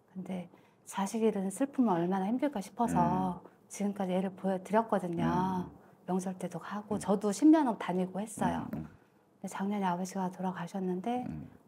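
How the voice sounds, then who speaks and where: Over light background noise, a woman speaks with ordinary pitch variation. Her pace is moderate. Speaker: fortune-telling client. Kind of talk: consultation.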